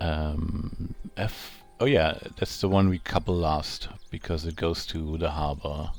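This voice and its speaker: A man with a German accent, very deep and low in pitch, at a very slow pace with fairly even intonation. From Germany. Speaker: gaming streamer. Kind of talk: live gameplay commentary. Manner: casual, hesitant with fillers.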